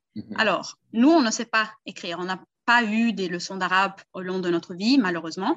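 This is an unremarkable speaking voice. It moves at a moderate pace with ordinary pitch variation. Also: woman, medium pitch for a woman. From Brazil. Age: 20s. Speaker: language tutor. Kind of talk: casual chat.

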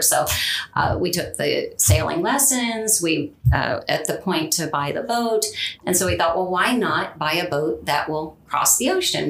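A woman with a Californian accent at a moderate pace, with audible room echo and noticeable background noise. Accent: Californian American. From Southern California. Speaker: property manager. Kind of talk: interview. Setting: studio.

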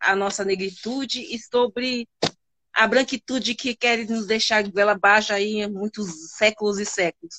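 The speaker talks at a fairly slow pace with ordinary pitch variation. It is a plain, everyday voice. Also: woman. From São Paulo, Brazil. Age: 40s. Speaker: math teacher. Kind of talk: casual interview. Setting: live stream.

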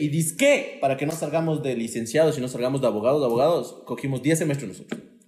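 There is noticeable background noise around this man. His voice carries audible room echo. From Ambato, Ecuador. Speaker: podcaster and comedian. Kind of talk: casual chat. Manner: fast.

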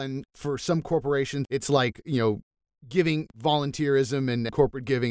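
In an ordinary speaking voice, a man talks at a fairly quick pace and fairly high pitch, the sound dry and close with no echo. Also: very clean recording, silent background. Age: 40s. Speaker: podcast host. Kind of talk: interview.

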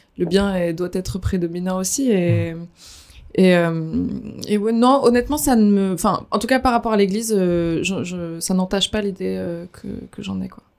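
A woman speaks at a medium pitch and a moderate pace, with normal pitch movement and large jumps in loudness, on a very clean recording with a silent background. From France, Dordogne. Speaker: recent convert. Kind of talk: testimony. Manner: halting.

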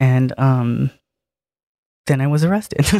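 Fairly slow and very deep in pitch, a woman speaks with a Southern California accent in a very clean recording with a silent background. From Harbor City, Los Angeles. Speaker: former inmate of women's prison, activist. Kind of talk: casual interview chat.

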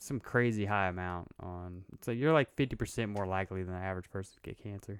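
Recorded very cleanly against a silent background, with a dry, close sound with no echo, a man with a normal speaking voice talks at a fairly quick pace in a fairly low pitch with ordinary pitch variation. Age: 30s. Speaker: podcast co-host. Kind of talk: casual chat.

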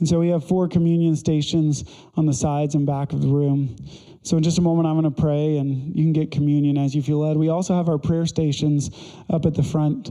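This man's voice has a fairly high pitch, a dark, mellow tone, fairly even intonation and very even loudness. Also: fairly quick pace. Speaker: pastor. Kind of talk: sermon; fervent prayer, led aloud to a congregation. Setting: church. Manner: earnest, conversational.

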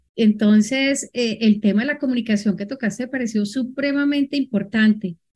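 A woman's somewhat breathy, fairly high voice at a moderate pace, with ordinary pitch variation. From Colombia. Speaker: moderator, IT executive. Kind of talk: moderating a webinar.

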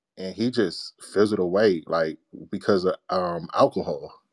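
A man's voice comes across dry and close, with no echo. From Washington DC area (Capitol Heights). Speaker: podcaster. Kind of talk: casual chat. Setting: video call.

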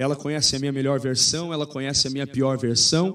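A man speaking at a fairly quick pace. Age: 30s. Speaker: pastor. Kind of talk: live-stream interview.

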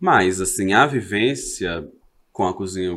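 On a very clean recording with a silent background, a man with a fairly low pitch and ordinary pitch variation speaks in a plain, everyday voice. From Brazil, Belo Horizonte (Minas Gerais). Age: 30s. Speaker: social media content creator. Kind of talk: casual chat interview.

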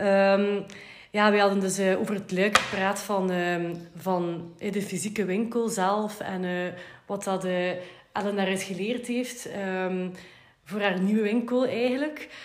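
A very slow delivery in a Flemish accent, fairly even intonation, audible room echo and noticeable background noise. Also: woman, medium pitch for a woman. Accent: Flemish Dutch. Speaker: podcast host. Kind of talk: interview.

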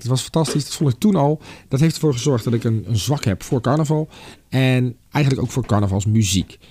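On a very clean recording with a silent background, a man talks at a fairly quick pace with lively intonation. His medium-pitched voice is somewhat breathy, with a dark, mellow tone. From Netherlands, Delft. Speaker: podcast host. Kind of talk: casual monologue with music tips. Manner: animated.

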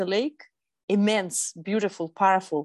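In a Russian accent, a woman talks at a moderate pace and medium pitch. The background is quiet. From Russia, Eastern Siberia. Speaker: sustainable fashion consultant. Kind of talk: interview.

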